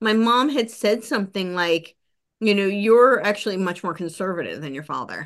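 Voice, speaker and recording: An animated voice speaks at a moderate pace over a quiet background. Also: woman. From US, New Jersey (near New York City). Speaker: podcast host and researcher. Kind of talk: casual interview conversation.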